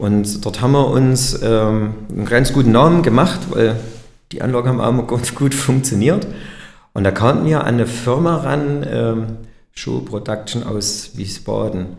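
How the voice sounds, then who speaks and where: A man's vocal fry at medium pitch, ordinary pitch variation, fairly slow pace and audible room echo. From Erzgebirge, Saxony. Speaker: company director. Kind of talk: interview. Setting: company meeting room.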